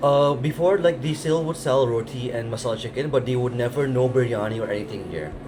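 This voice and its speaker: Over music in the background, a man talks at a very fast pace with hardly any pauses, at a medium pitch with ordinary pitch variation. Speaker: restaurant worker. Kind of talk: casual chat.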